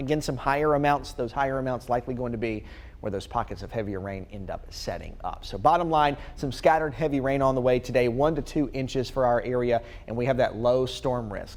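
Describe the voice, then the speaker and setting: The speaker has a normal speaking voice and an American accent. The pace is fairly quick, with ordinary pitch variation. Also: man, medium pitch for a man. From North Carolina, USA. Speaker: TV meteorologist. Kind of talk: TV weather forecast. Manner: clear, steady, friendly.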